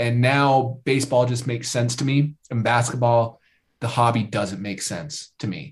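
This man has a medium-pitched, somewhat breathy voice. He speaks with an American accent. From Idaho, US. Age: 20s. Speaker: YouTube content creator. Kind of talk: casual chat.

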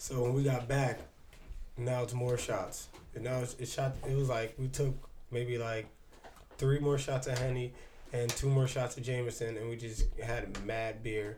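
A man's somewhat breathy voice at medium pitch, moderate pace, with long, frequent pauses. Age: 30s. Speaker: podcast co-host. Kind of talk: casual chat. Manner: animated.

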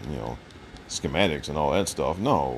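A man with an American accent, very deep and low, speaking fairly slowly over noticeable background noise. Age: 40s. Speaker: podcast host. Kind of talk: solo commentary monologue.

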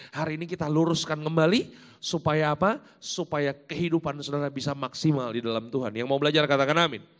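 This man speaks at a very fast pace. His pitch is fairly high, with ordinary variation. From Jakarta and Malang, East Java, Indonesia. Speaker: pastor. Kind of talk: sermon. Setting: church.

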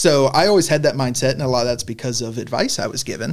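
In a plain, everyday voice, a man speaks at a medium pitch and a fairly quick pace with lively intonation. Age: 30s. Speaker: college football head coach. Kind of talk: casual interview.

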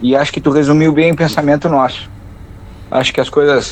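A plain, everyday voice at a fairly quick pace. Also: man. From southern Brazil. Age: 40s. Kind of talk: interview.

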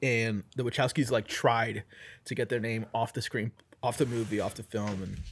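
A man speaks at a moderate pace at a medium pitch with ordinary pitch variation. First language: not English. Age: 30s. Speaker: film podcast co-host. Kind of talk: casual chat.

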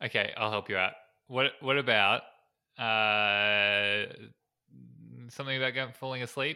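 A bright, sharp tone at a fairly slow pace, with long, frequent pauses, fairly even intonation, and a very clean recording over a silent background. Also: man, medium pitch for a man. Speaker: podcast co-host. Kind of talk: casual chat.

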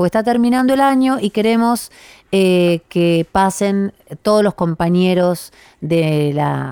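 In a very clean recording with a silent background and a dry, close sound with no echo, a woman speaks very slowly at medium pitch with a dark, mellow tone and very wide pitch swings. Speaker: radio host and tango singer. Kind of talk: radio show chat.

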